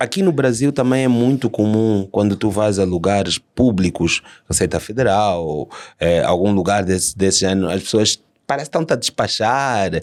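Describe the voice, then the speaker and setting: Fairly low male pitch, ordinary pitch variation, very even loudness and a moderate pace, in a very clean recording with a silent background. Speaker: podcast host. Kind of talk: podcast interview.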